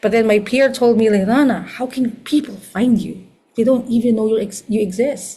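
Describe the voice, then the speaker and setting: With a Filipino accent, a woman speaks at a moderate pace in a fairly high, somewhat breathy voice of dark, mellow tone and fairly even intonation. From Philippines. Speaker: astrologer. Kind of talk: lecture.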